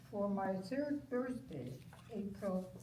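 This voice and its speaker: Over noticeable background noise and audible room echo, a woman speaks at a very slow pace with lively intonation. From Netherlands (Utrecht). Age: 80s+. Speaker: Holocaust survivor. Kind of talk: testimony. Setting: stage with audience. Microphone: no microphone.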